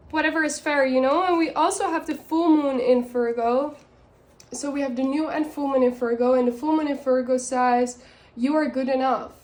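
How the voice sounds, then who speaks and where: A woman with a non-native accent speaks at a moderate pace, her high pitch held in fairly even intonation. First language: not English. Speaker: tarot and oracle card reader. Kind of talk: oracle card reading for viewers. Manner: halting, many fillers and restarts.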